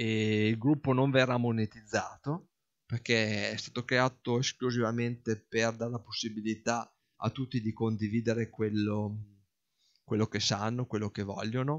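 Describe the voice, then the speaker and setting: Against a quiet background, a man talks at a moderate pace in a monotone with flat intonation. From northern Italy, Parma province; northern Italy. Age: 40s. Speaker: hobby farmer and office worker. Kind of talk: casual explanatory monologue; casual explanatory vlog chat. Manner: halting, with repetitions. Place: garden. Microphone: non-professional recording equipment; phone near.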